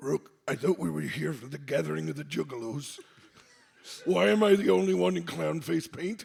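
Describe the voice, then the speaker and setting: A man puts on a raspy character voice. His pitch is fairly low and his pace moderate. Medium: actual play.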